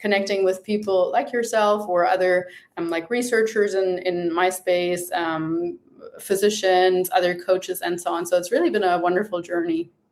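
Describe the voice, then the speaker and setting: A woman speaks at a moderate pace with a German accent, her medium-pitched voice following a fairly even intonation. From Germany. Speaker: nutrition coach. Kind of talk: interview podcast.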